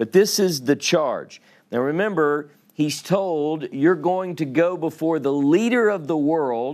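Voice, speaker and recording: A man talks in a Louisiana accent at a fairly slow pace. His intonation is lively. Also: very clean recording, silent background. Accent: Louisiana southern. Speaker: Bible teacher. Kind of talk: sermon.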